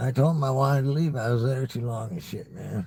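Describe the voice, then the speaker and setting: A man with a dark, mellow tone and a medium pitch speaks at a moderate pace, sounding somewhat breathy. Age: 60s. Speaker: YouTuber livestreamer. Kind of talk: casual monologue livestream. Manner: halting, repetitive stammering; casual, profane.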